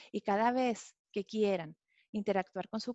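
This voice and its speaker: A woman's fairly high voice with fairly even intonation at a fairly slow pace. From Mexico, Monterrey. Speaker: author and customer experience speaker. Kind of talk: webinar talk. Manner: some halting restarts.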